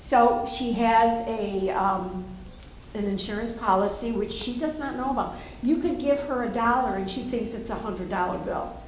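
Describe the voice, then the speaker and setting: Her voice sits fairly high for a woman, with ordinary pitch variation and a moderate pace, and the recording carries audible room echo and noticeable background noise. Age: 70s. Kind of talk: audience question at panel.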